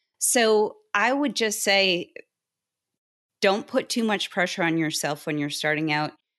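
Over a quiet background, a woman with an American accent uses an ordinary speaking voice, talking at a moderate pace with lively intonation. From Boston. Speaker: in-house tax counsel. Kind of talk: interview.

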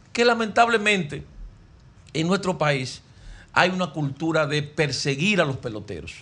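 A man with a bright, sharp tone and fairly high pitch. He speaks at a moderate pace with lively intonation. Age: 50s. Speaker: sports radio broadcaster. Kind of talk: casual chat.

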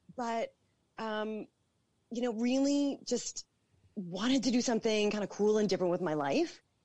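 Lively intonation marks this moderate-paced delivery in a Canadian accent, broken by long, frequent pauses. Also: woman, fairly high pitch for a woman. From Toronto, Canada. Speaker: entrepreneur. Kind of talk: interview.

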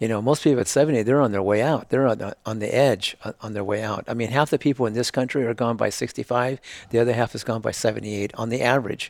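At a very fast pace, a man talks with fairly even intonation. The recording is very clean with a silent background, and the sound is dry and close with no echo. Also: medium pitch for a man. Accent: American. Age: 70s. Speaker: health company founder. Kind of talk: interview conversation.

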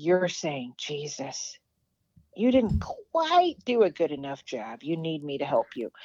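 A woman speaks at a fairly slow pace with a very deep, low pitch and a dark, mellow tone. Her pitch swings very widely and her loudness shifts greatly, in a dry, close sound with no echo. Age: 50s. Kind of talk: testimony.

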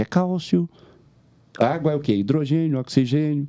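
With a strong Minas Gerais accent, a man speaks at a moderate pace in a dark, mellow tone. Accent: strong Minas Gerais (mineiro). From Belo Horizonte, Minas Gerais, Brazil. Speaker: comedian. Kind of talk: casual chat.

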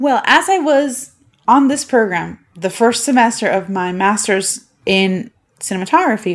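Her pitch fairly high and swinging very widely, a woman talks at a moderate pace with a Puerto Rican accent. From Puerto Rico. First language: Spanish. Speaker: podcast host. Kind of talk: casual monologue.

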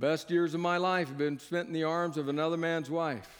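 A man puts on a booming character voice, fairly high in pitch. He moves at a fairly quick pace. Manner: commanding, projecting.

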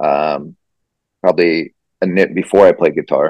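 Here a man talks in a Midwestern American accent. His pitch varies in an ordinary way. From rural southwest Iowa. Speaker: singer-songwriter. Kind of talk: casual interview. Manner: halting, many fillers.

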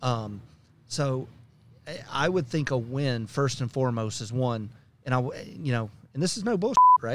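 Speaking at a moderate pace with long, frequent pauses, a man keeps a medium pitch and ordinary pitch variation. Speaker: business executive. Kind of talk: casual interview.

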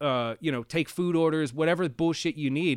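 A man with an American accent has a plain, everyday voice at a fairly high pitch. The sound is dry and close with no echo, in a very clean recording with a silent background. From Pennsylvania, US (Reading, later near Pittsburgh). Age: 30s. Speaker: recording engineer and producer, former Marine. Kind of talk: casual interview chat.

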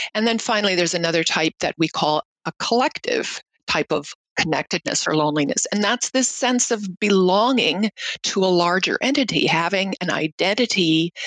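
With lively intonation and very even loudness, a woman talks at a moderate pace and medium pitch in an ordinary speaking voice. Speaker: research scientist. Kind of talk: interview.

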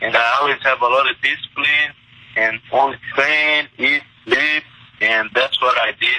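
Against noticeable background noise, a man with a Portuguese accent speaks at a fairly slow pace with very even loudness. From Brazil, Minas Gerais. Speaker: mixed martial arts fighter. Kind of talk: interview.

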